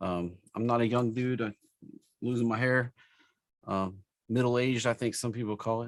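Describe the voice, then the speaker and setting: A man's medium-pitched voice with an East Tennessee accent, fairly even intonation and a moderate pace broken by long, frequent pauses, in a dry, close sound with no echo. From US South, East Tennessee. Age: 40s. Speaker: stock trading educator. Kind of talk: live webinar tutorial. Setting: live stream webinar with screen share. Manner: casual, with many fillers.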